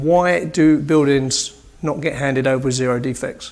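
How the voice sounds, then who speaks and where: A man with a fairly high pitch speaks in a British accent. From UK. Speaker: building commissioning engineer. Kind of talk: conference presentation. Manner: animated.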